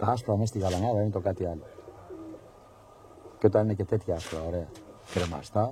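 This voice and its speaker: A man with a fairly low, dark, mellow voice speaks at a fairly quick pace with ordinary pitch variation. Long, frequent pauses break up his speech. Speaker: pigeon hobbyist video narrator. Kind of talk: live commentary. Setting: outdoors. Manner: animated.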